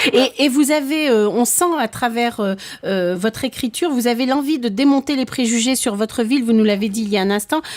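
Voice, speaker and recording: A woman speaks at a high pitch and a fairly quick pace. Her pitch varies in an ordinary way over noticeable background noise. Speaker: radio host. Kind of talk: interview.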